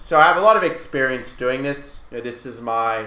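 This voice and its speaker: A man with an Australian accent speaks at a moderate pace and medium pitch, his intonation fairly even, with audible room echo. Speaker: chess grandmaster and coach. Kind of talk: lecture.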